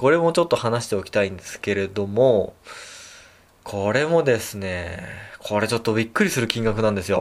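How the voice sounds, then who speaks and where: A man at medium pitch, fairly quick in pace and lively in intonation. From Japan, Tokyo. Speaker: chiropractor and podcast host. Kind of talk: solo podcast talk. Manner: many fillers, hesitant.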